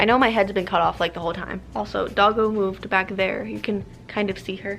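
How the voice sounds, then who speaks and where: There is music in the background. A woman speaks at a fairly quick pace. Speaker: YouTuber doing product review. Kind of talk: casual product taste test vlog. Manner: somewhat halting, stumbling over words.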